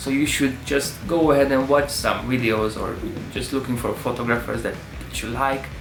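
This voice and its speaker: Over music in the background and with audible room echo, a man with a non-native accent and medium pitch speaks at a moderate pace in a monotone, flat intonation. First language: not English. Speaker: photography YouTuber. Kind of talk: tutorial. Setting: talking to camera.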